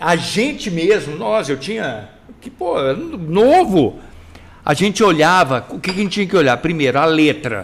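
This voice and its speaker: Speaking fairly slowly, a man with a high pitch moves through very wide pitch swings and big shifts in loudness. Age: 60s. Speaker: journalist and web show co-host. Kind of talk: casual chat. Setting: live stream. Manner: animated.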